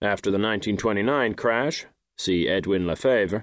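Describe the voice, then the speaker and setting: A man with a normal speaking voice talks at a fairly quick pace in a fairly low pitch against a quiet background. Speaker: audiobook narrator. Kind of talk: audiobook reading of nonfiction. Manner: formal; measured.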